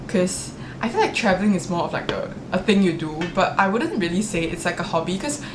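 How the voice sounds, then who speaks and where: Audible room echo and noticeable background noise surround a woman speaking at a fairly low pitch with fairly even intonation. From Singapore. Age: 20s. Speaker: vlogger. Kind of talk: casual chat. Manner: chatty, uses many fillers.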